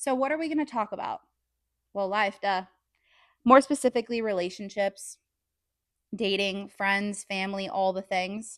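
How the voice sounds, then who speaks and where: A woman with an American accent talks at medium pitch with ordinary pitch variation and long, frequent pauses, in a very clean recording with a silent background and a dry, close sound with no echo. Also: moderate pace. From California, San Diego. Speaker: podcast host. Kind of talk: casual monologue, partly read from notes. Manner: animated.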